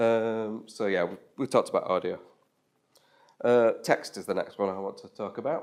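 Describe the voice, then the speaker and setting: In a strong Yorkshire accent, a man talks at a moderate pace with big swings in loudness. The recording is very clean, over a silent background. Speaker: web developer giving a talk. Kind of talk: meetup tech talk. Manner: casual with frequent fillers.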